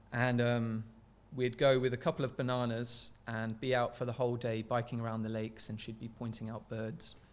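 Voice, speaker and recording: Fairly quick, flat, monotone male speech at a medium pitch with an English accent, in a very clean recording with a silent background. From England. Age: 20s. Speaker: researcher and filmmaker. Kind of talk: podcast interview.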